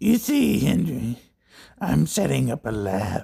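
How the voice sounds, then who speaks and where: A man puts on a character voice, croaky and raspy, at a fairly low pitch. He talks at a fairly slow pace. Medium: read story. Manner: cold, condescending.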